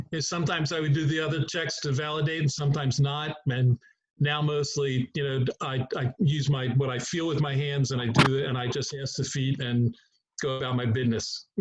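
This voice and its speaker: Somewhat breathy and fairly high-pitched, a man with an American accent speaks at a fairly quick pace with fairly even intonation. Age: 70s. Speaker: chiropractor. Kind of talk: group discussion.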